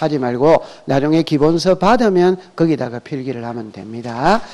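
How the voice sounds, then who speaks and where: A man speaks at a fairly high pitch. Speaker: real estate law instructor. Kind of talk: lecture. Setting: classroom with students. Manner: speeds up when talking; question-and-answer style with class.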